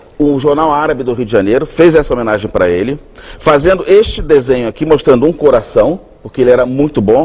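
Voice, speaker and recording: Over noticeable background noise, a man speaks fairly quickly at a fairly high pitch with lively intonation. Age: 60s. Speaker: chef. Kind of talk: TV interview.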